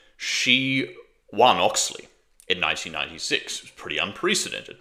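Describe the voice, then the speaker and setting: A man with an Australian accent at a fairly quick pace. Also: very clean recording, silent background. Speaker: political commentator. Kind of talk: political commentary monologue. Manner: casual, conversational.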